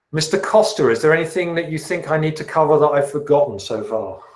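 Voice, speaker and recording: The speaker talks with a British accent. The pace is moderate, with ordinary pitch variation. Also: man. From England, south of London. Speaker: chemistry teacher. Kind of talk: class orientation and Q&A. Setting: video call.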